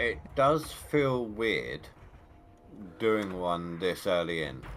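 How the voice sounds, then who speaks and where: Speaking at a very slow pace with an English accent, a man uses a very deep, low pitch with very wide pitch swings, and the room echo is audible. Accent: English accent, described as very cool. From England. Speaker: fellow gamer on voice chat. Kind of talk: casual gaming chat.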